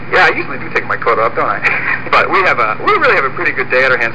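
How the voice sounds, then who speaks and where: With noticeable noise behind him, a man rattles off words at a very fast pace. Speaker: radio astrologer. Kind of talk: radio horoscope segment. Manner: relaxed, jokey.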